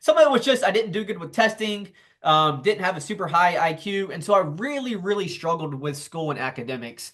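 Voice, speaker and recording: With a Southern US accent, a man speaks high-pitched and at a fairly quick pace, his pitch swinging very widely. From US South, South Carolina. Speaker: entrepreneur and author. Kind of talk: interview.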